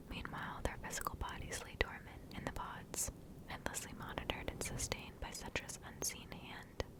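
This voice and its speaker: Someone is whispering at a moderate pace. Noticeable background noise runs underneath. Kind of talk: whispered ASMR story reading. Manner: whispered, soft.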